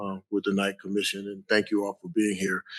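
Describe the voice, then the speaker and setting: The sound is dry and close with no echo as a man with an American accent speaks at a fairly low pitch. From US Midwest, Cleveland, Ohio. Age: 60s. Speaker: athletics director. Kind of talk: panel discussion.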